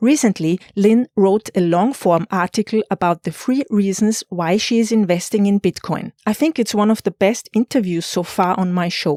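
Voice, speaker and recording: Speaking in a German accent, a woman with a medium pitch and a dark, mellow tone talks at a moderate pace with hardly any pauses, ordinary pitch variation and very even loudness, in a dry, close sound with no echo. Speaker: podcast host. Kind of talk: scripted podcast intro.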